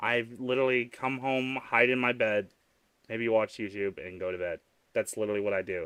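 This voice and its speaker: A man with an American accent and a medium pitch talks at a fairly quick pace. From US South. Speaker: vtuber streamer. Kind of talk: live stream chat. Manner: animated.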